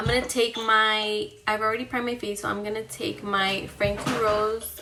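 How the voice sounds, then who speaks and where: There is noticeable background noise and audible room echo. A woman is speaking. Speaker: beauty vlogger, mother. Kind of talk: makeup tutorial, casual chat. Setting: home bathroom vanity. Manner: loud.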